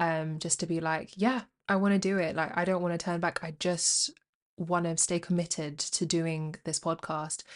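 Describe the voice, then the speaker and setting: In a London accent, a woman speaks with a fairly low pitch and monotone, flat intonation against a quiet background. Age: 20s. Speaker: podcaster. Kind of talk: casual monologue. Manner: halting.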